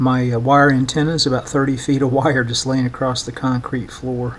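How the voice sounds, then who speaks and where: In a flat monotone, a man speaks over light background noise. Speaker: vintage radio repairer. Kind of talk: tutorial commentary. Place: workshop.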